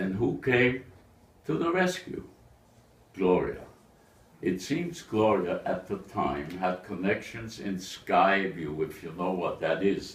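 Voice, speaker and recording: Very slow and marked by long, frequent pauses, a man with a very deep, low pitch and ordinary pitch variation speaks amid audible room echo. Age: 90s. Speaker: eulogy speaker at a memorial. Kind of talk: memorial speech.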